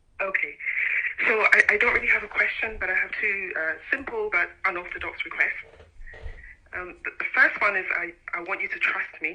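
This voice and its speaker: The speech moves at a moderate pace with long, frequent pauses. Noticeable background noise is present. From Nigeria, Abia State (Umuahia). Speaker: caller. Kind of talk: radio phone-in call. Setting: phone call. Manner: hesitant.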